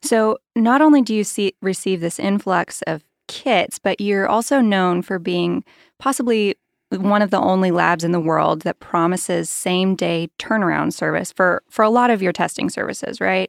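Recorded very cleanly against a silent background, with a dry, close sound and no echo, a woman talks at a moderate pace and medium pitch with ordinary pitch variation, an ordinary speaking voice. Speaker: podcast host, communications director. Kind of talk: casual interview.

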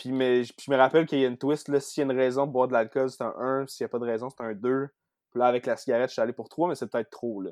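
Speaking very fast with a Quebec accent, a man keeps a medium pitch and fairly even intonation against a quiet background. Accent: Québécois French. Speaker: podcast guest, horror film fan. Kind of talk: casual chat.

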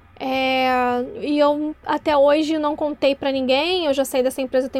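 Recorded dry and close with no echo, a woman speaks at a high pitch. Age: 30s. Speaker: listener sharing a testimony. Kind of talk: testimony.

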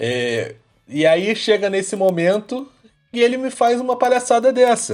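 Speaking at a fairly slow pace, the man has an extremely high pitch. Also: ordinary pitch variation. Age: 20s. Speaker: football fan podcast co-host. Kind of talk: casual chat.

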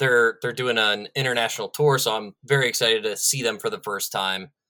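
In a very clean recording with a silent background, a man speaks with a bright, sharp tone. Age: 30s. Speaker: podcast guest. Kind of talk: casual chat.

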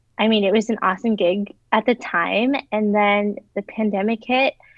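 With an American accent and a plain, everyday voice, a woman talks at a moderate pace and medium pitch with fairly even intonation. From US Midwest, Chicago. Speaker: former recruiter in career change. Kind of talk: casual chat.

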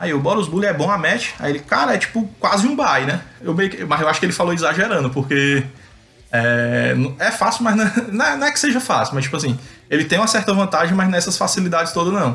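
Bright and sharp in tone, a high-pitched man speaks at a fairly quick pace with very wide pitch swings. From Brazil, Fortaleza, Ceará. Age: 30s. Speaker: professional card game player. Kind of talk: casual interview chat.

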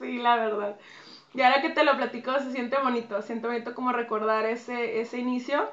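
A woman with a high pitch and fairly even intonation, at a fairly quick pace, amid noticeable background noise. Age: 30s. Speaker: dance choreographer. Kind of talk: interview.

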